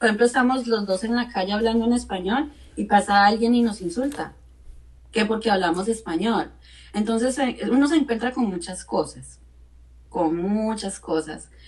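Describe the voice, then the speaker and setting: At a moderate pace, someone speaks in a somewhat breathy voice whose pitch varies in an ordinary way. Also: woman, fairly high pitch for a woman. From Colombia. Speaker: radio and TV presenter, life coach. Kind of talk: interview.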